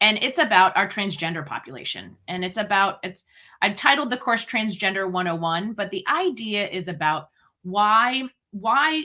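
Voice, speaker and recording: In a very clean recording with a silent background, a woman speaks loudly at a medium pitch, her tone bright and sharp and her intonation lively. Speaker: dental hygienist and speaker. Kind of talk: interview. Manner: fast.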